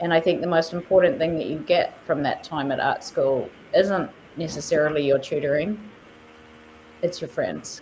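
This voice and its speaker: Moderate pace in a New Zealand accent, broken by long, frequent pauses. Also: woman, fairly low pitch for a woman, ordinary pitch variation. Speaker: artist and nonprofit leader. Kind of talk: interview. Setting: live stream.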